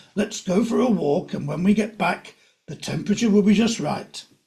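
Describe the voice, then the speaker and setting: A raspy, high-pitched put-on character voice from a man at a moderate pace. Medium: read story. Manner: bossy, self-assured.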